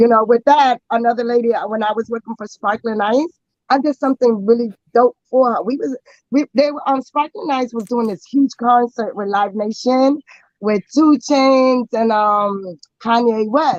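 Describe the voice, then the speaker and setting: Loud, animated woman's voice, high in pitch, at a moderate pace with ordinary pitch variation. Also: dry, close sound with no echo. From New York City. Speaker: actress and model. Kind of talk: casual interview.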